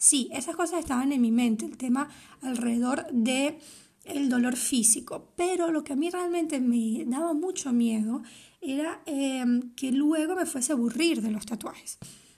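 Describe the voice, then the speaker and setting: The tone is dark and mellow. Delivery comes at a fairly slow pace. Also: woman, high pitch for a woman, ordinary pitch variation. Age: 30s. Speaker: podcast host. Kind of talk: casual monologue.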